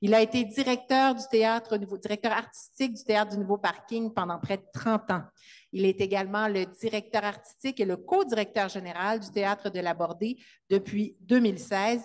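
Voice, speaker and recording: A woman at a moderate pace with fairly even intonation, against a quiet background. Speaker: event host. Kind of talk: introduction at a literary event. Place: hall. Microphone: handheld.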